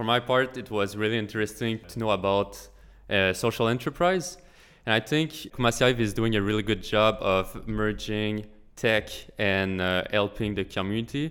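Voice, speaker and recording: On a very clean recording with a silent background, a man with a French accent speaks at a fairly low pitch with ordinary pitch variation. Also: moderate pace. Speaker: engineering intern.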